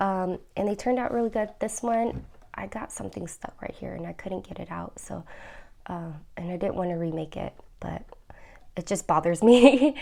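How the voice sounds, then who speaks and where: Soft-spoken, a woman talks at a moderate pace with lively intonation. Her tone is dark and mellow, with vocal fry. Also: medium pitch for a woman, big swings in loudness. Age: 30s. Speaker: budgeting vlogger. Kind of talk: casual tutorial vlog. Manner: hesitant with frequent fillers.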